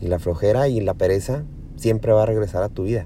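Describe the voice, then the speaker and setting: Speaking at a fairly quick pace, a man with a fairly low voice uses ordinary pitch variation. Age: 30s. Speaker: fitness podcaster. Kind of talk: motivational monologue. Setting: in a car.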